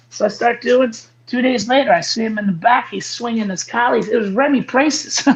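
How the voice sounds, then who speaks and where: Over noticeable background noise, a man with an extremely high pitch talks at a fairly quick pace with ordinary pitch variation. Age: 40s. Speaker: martial arts instructor. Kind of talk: casual chat.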